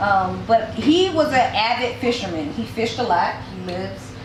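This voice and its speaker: With an American accent, a woman with a fairly high pitch speaks in lively intonation amid audible room echo. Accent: Southern US, noticeable to others. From Georgia, US South (Athens). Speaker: cookbook author. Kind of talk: author talk, moderated conversation. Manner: conversational, with many fillers.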